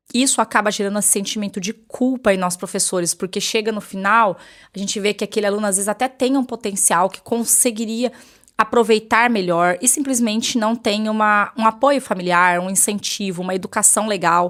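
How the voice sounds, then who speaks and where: A woman talks at a fairly quick pace, her fairly high voice kept to fairly even intonation. The recording is very clean, with a silent background. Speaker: teacher and vlogger. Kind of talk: personal vlog monologue. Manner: fast.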